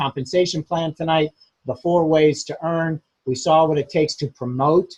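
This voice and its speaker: A man speaks at a fairly slow pace, his fairly high voice somewhat breathy. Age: 60s. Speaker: business trainer. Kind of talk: training webinar. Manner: casual, filler-heavy.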